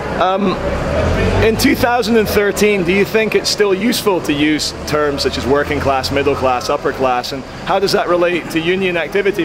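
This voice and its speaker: A man with a high pitch and ordinary pitch variation speaks at a moderate pace over noticeable background noise. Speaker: interviewer, video blogger. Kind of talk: street interview questions. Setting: outdoors, street.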